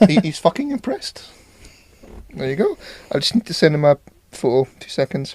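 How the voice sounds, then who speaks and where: In a dry, close sound with no echo, a man with a high pitch talks at a fairly quick pace with very wide pitch swings, big swings in loudness, and long, frequent pauses. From Scotland. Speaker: podcast co-host. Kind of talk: casual chat.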